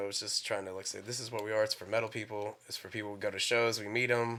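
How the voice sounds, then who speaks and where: The talking goes at a very fast pace. Noticeable background noise sits behind it. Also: man. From North Carolina. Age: 30s. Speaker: metal fan community founder. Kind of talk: casual chat.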